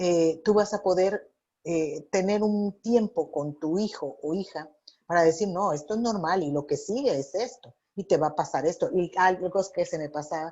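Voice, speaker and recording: Fairly low in pitch with ordinary variation, a woman's voice proceeds at a fairly slow speed. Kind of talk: radio interview.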